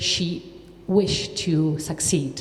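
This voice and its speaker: With audible room echo and noticeable background noise, a woman speaks at a fairly low pitch with fairly even intonation. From Czechia. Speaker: writer. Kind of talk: panel talk.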